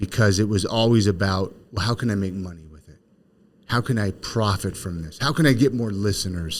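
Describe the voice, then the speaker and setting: A man uses a plain, everyday voice with an American accent, speaking at a moderate pace with ordinary pitch variation. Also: very clean recording, silent background. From California. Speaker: podcast host and real estate agent. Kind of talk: casual interview chat.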